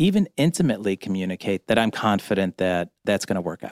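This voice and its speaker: A man's unremarkable speaking voice with an American accent, fairly low in pitch, at a fairly quick pace with ordinary pitch variation, in a very clean recording with a silent background and a dry, close sound with no echo. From Cleveland, Ohio. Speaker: media executive, former newspaper editor. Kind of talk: interview. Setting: studio.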